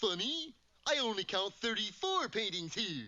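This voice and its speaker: A cartoonish character voice, fairly high in pitch, at a moderate pace. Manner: slow, goofy.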